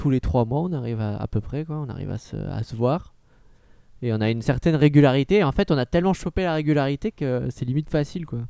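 A man with a fairly high pitch and a dark, mellow tone talks at a fairly quick pace with lively intonation, the sound dry and close with no echo on a very clean recording with a silent background. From southwest France, then Nancy. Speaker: podcast co-host. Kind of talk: casual chat.

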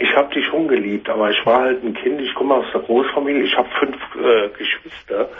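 The voice has a husky, rough edge and ordinary pitch variation. It moves at a fairly quick pace. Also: man, medium pitch for a man.

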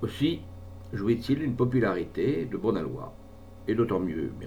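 Lively intonation in plain reading aloud

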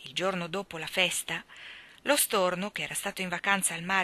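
This is an unforced reading voice. The text is read in an unforced way.

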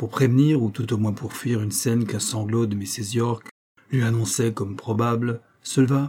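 Fairly even intonation in an unforced reading voice, quiet background behind it

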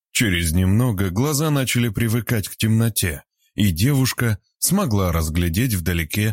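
This is a natural reading voice with lively intonation over a quiet background.

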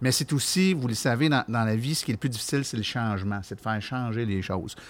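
Talking at a fairly quick pace, a man keeps a medium pitch with ordinary variation. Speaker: podcast host. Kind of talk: casual chat. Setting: makeshift studio at an event.

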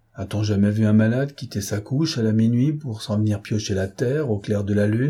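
A passage is read aloud in a natural voice.

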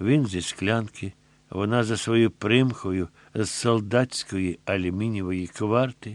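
The pitch varies in an ordinary way during plain reading aloud.

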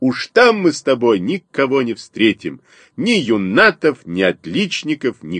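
Set against a quiet background, this is a natural reading voice.

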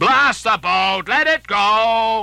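Putting on a character voice, a man speaks slowly with a high pitch, lively intonation, a bright, sharp tone, and vocal fry.

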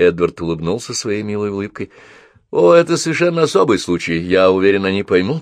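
The clip features a natural reading voice.

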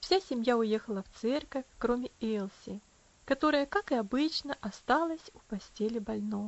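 The voice heard here reads in an unforced way.

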